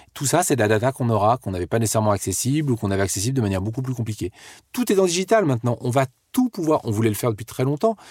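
With a very fast pace, an animated tone and lively intonation, a man speaks at a medium pitch in a very clean recording with a silent background and a dry, close sound with no echo. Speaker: entrepreneur. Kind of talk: interview.

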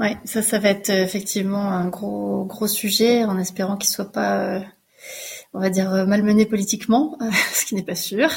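Pausing long and often, a woman speaks at a fairly slow pace with a medium pitch and fairly even intonation. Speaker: podcast host. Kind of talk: interview. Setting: remote recording.

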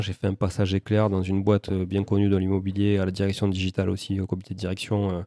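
The voice has a dark, mellow tone and a slight Toulouse accent. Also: man. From Toulouse, southern France. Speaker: real estate investor. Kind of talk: interview.

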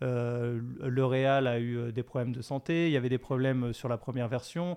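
The background is quiet. A man talks at a medium pitch. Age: 40s. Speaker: documentary filmmaker. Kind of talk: interview. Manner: halting, frequent repetitions.

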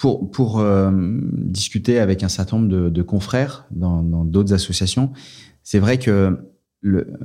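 A man speaks at a fairly slow pace in a fairly low pitch with a dark, mellow tone and ordinary pitch variation, on a very clean recording with a silent background. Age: 40s. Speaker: charity communications director. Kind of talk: interview. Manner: halting, many repetitions.

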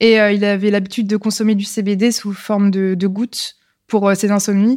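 The delivery is fairly slow. No background sound intrudes on this very clean recording. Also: woman. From France, Lyon. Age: 20s. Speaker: entrepreneur. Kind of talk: casual interview. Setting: live recording in person. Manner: hesitant, many fillers.

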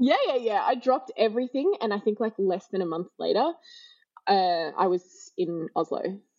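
An Australian accent carries this woman's fairly high voice at a moderate pace, with very wide pitch swings. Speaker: hospitality professional. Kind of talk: casual interview chat. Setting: remote recording.

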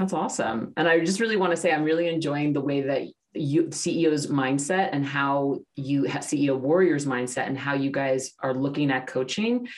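This woman has a very deep, low pitch. Her pitch varies in an ordinary way. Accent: American. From New York, US. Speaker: podcast host. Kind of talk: podcast interview.

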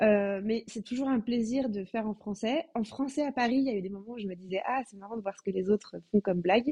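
A woman speaks at a fairly quick pace with a fairly high pitch, a somewhat breathy, dark and mellow tone, big swings in loudness and hardly any pauses. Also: ordinary pitch variation, dry, close sound with no echo. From France. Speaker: comedian. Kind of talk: casual interview.

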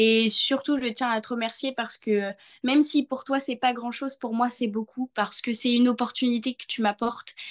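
This woman's high voice stays monotone, with flat intonation throughout. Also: moderate pace. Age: 20s. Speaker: young entrepreneur and association volunteer. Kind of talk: interview.

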